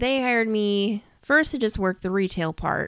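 On a very clean recording with a silent background, a woman speaks in an animated tone at medium pitch, with ordinary pitch variation and a moderate pace. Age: 20s. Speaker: podcast host and romance author. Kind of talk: casual monologue.

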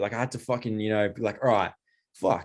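Behind this speaker, the background is quiet. He is a man with an Australian accent. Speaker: rock guitarist. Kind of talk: casual chat.

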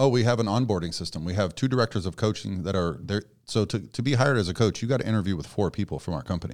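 Over a very clean recording with a silent background, a man talks at a very fast pace in a fairly low voice. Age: 40s. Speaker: contest prep coach. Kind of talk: casual chat. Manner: soft-spoken.

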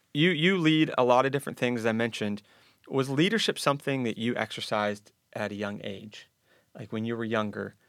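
A man with an American accent speaks at a moderate pace in a plain, everyday voice with ordinary pitch variation. The recording is very clean with a silent background. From western Pennsylvania. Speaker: podcast host. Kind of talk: interview.

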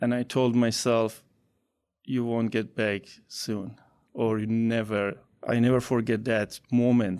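Speaking in an Iranian accent, a man uses a medium pitch and a monotone, flat intonation at a fairly slow pace over a quiet background. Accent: Iranian (Persian) accent in English. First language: Persian. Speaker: college tutor and author. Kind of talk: interview.

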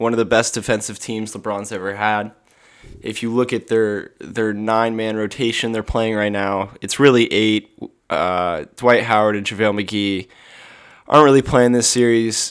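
A man speaks at a moderate pace with a fairly low pitch and fairly even intonation. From Idaho. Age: young. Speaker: sports podcaster. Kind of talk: solo podcast commentary. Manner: halting, many fillers and repetitions.

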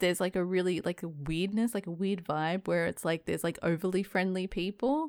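A woman with an ordinary speaking voice talks at a fairly quick pace and medium pitch, hardly pausing, with ordinary pitch variation and very even loudness. The sound is dry and close, with no echo. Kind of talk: casual chat over drinks. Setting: video call.

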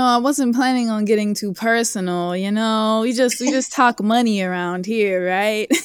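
With an American accent and an ordinary speaking voice, a woman talks at a moderate pace and fairly high pitch, showing ordinary pitch variation and hardly any pauses in a very clean recording with a silent background. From Northern California. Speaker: certified financial planner. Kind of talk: casual interview.

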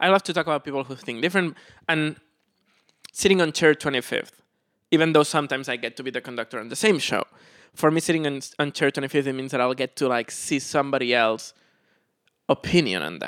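A man's fairly high voice at a very fast pace, with long, frequent pauses, in a very clean recording with a silent background and a dry, close sound with no echo. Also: ordinary pitch variation. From Spain, Barcelona. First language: Spanish or Catalan. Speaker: pianist and music director. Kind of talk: interview.

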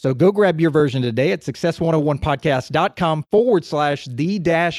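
A man with an unremarkable speaking voice, fairly high in pitch, with ordinary pitch variation, on a very clean recording with a silent background. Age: 30s. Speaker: podcast host and financial advisor. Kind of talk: interview.

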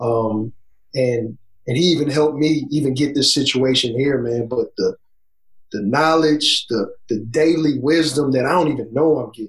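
The man's voice is fairly high and somewhat breathy, with an American accent. His pitch varies in an ordinary way. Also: moderate pace. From Southeast Texas. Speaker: college basketball coach. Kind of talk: casual podcast interview and film breakdown.

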